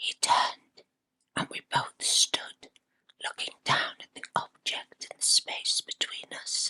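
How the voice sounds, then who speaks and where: A woman is whispering at a very slow pace. Her loudness swings widely. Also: dry, close sound with no echo. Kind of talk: ASMR true ghost story narration. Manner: whispered.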